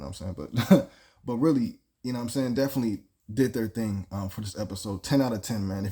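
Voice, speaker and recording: A man puts on a raspy character voice at a medium pitch, talking at a very fast pace. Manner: enthusiastic, casual praise.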